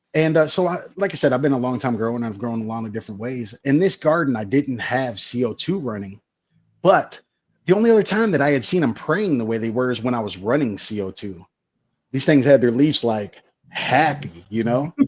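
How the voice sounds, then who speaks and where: With lively intonation and a fairly quick pace, a man with an unremarkable speaking voice talks in a medium pitch against a quiet background. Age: 30s. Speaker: grower and product company staff. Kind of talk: casual interview.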